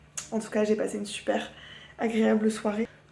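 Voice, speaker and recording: Her fairly high voice moves at a fairly quick pace, and this woman keeps a monotone, flat intonation throughout. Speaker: vlogger. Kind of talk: casual vlog. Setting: at home. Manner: chatty, hesitant with fillers.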